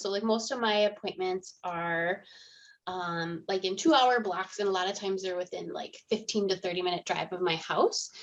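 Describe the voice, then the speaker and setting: A woman with a Minnesota accent talks at a moderate pace over a quiet background. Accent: Minnesota accent, a bit Canadian. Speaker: in-home euthanasia veterinarian. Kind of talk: podcast interview. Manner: casual, lots of filler words.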